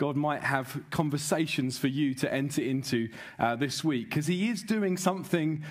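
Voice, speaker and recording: A man at a moderate pace, against a quiet background. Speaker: preacher welcoming a conference. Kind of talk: sermon. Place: stage. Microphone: headset.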